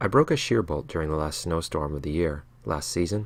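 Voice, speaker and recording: In a very clean recording with a silent background, a man with a very deep, low pitch talks at a fairly quick pace with ordinary pitch variation. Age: 30s. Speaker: homesteader. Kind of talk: scripted narration.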